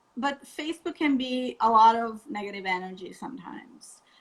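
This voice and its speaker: A woman talks at a moderate pace with a non-native accent. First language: not English. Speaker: vegan wedding blogger. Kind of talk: interview on a live stream. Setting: Instagram live video call.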